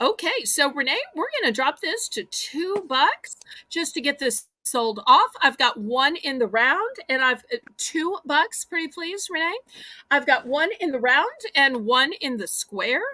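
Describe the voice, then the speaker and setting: A woman with a Southern US accent speaks in a raised, projected voice at a fairly slow pace, her high pitch swinging very widely in an animated, bright and sharp tone. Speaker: live online auction host. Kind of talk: live sales auction. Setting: livestream.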